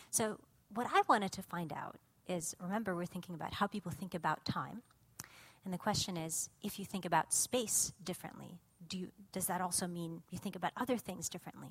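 Somewhat breathy, a woman speaks with an American accent at a fairly quick pace in a medium pitch. Her pitch variation is ordinary, and the sound is dry and close with no echo. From Russia, later California. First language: Russian. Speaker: cognitive scientist. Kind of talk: lecture. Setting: stage with audience.

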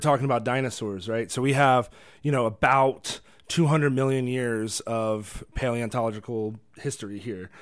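Heard on a very clean recording with a silent background, the speaker has an American accent and ordinary pitch variation. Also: man. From Virginia. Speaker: radio co-host and tour guide. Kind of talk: casual chat. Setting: studio. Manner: halting, many repetitions.

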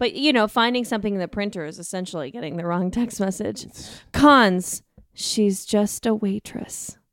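In a normal speaking voice, a woman with an American accent talks at a moderate pace and medium pitch, her intonation lively and her loudness swinging widely, on a very clean recording with a silent background. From US West, Colorado (Denver). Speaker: podcast guest. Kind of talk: casual chat.

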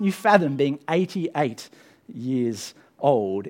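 Speaking with an Australian accent, a man uses a fairly high pitch with very wide pitch swings. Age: 30s. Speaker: pastor. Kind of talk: sermon. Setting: church.

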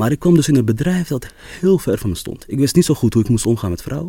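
This man's fairly high voice has a dark, mellow tone and swings very widely in pitch. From Amsterdam, Netherlands. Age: 20s. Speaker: storytelling coach and photographer. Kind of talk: interview.

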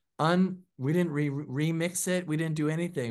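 Someone with an American accent talks at a moderate pace with ordinary pitch variation against a quiet background. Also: man. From US Pacific Northwest, Seattle. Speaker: record producer and musician. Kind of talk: interview. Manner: loud.

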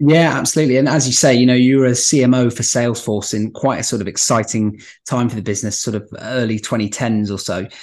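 A man's medium-pitched voice at a fairly quick pace, with hardly any pauses and fairly even intonation. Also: quiet background. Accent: British. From London, England. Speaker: podcast host. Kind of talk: interview conversation. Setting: video call.

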